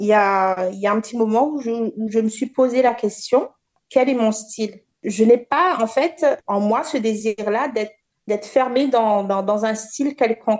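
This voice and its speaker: A fairly slow pace with ordinary pitch variation. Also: woman, fairly high pitch for a woman. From Réunion. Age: 30s. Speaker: dancer. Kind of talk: interview. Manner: halting.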